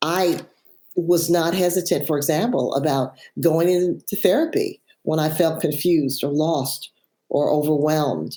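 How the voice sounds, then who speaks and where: Speaking at a fairly slow pace, a woman has a very deep, low pitch and a dark, mellow tone. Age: 70s. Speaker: author. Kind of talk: interview.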